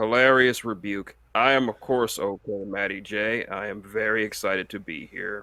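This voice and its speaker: A man's put-on character voice, robotic and deadpan, fairly low in pitch, at a moderate pace with hardly any pauses. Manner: deadpan, formal.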